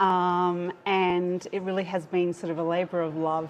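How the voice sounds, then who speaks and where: Her voice is fairly low, in an Australian accent. The woman speaks fairly slowly with monotone, flat intonation. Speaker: pediatric sleep researcher. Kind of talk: live-stream interview. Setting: live stream. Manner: hesitant, many fillers.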